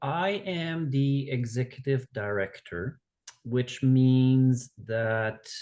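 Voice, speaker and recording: Speaking very slowly with a Quebec accent, a man uses a medium pitch, ordinary pitch variation and a dark, mellow tone. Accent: Québécois French-accented English. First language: French. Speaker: outdoor education organization director. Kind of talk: podcast interview.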